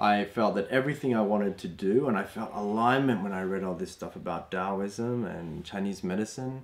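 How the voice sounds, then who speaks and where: A man speaks in an Australian accent. His pitch is fairly low. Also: ordinary pitch variation, moderate pace, hardly any pauses. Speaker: Chinese medicine practitioner; health course teacher. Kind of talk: online course introduction. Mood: calm, warm. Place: home room.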